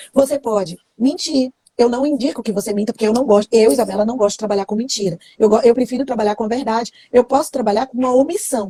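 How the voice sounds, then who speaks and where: A woman speaks in a high voice at a very fast pace. The sound is dry and close, with no echo. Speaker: criminal law teacher. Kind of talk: live stream lesson. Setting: Instagram live.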